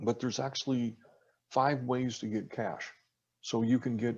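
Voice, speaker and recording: A man with an American accent speaks at a moderate pace in a medium pitch against a quiet background. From US Midwest (Iowa). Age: 50s. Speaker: reverse mortgage specialist. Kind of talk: podcast interview.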